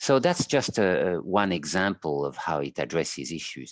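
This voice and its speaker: A man speaks with a French accent and vocal fry. His pitch swings very widely, and the sound is dry and close with no echo. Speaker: clinical psychologist. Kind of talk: interview. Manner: halting.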